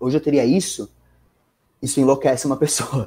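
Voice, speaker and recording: A man with a São Paulo accent at a moderate pace. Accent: São Bernardo accent, noticeable R. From São Bernardo do Campo, Greater São Paulo, Brazil. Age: 20s. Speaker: financial market professional. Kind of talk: casual podcast interview.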